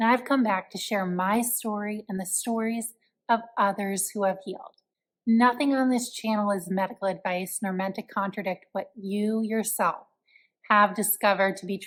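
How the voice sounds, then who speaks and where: A woman talks in a plain, everyday voice at a medium pitch. Her pace is moderate and her intonation fairly even. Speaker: podcast host, recovered from chronic fatigue syndrome. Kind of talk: interview host talk.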